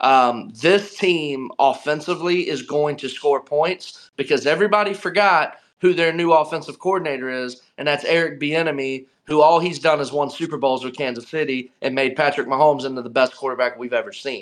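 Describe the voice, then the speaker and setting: A man with an American accent speaks at a fairly quick pace with hardly any pauses. He has an ordinary speaking voice, fairly high for a man, with ordinary pitch variation. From North Carolina (Charlotte). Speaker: sports podcast guest. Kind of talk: casual chat.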